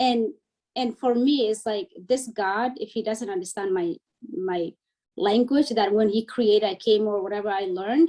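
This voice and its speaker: At a moderate pace, a woman with a Somali accent talks in a fairly high voice with a dark, mellow tone, recorded dry and close with no echo. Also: ordinary pitch variation. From Somalia, raised in a refugee camp in Kenya. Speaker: refugee and educator. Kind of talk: interview. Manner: animated.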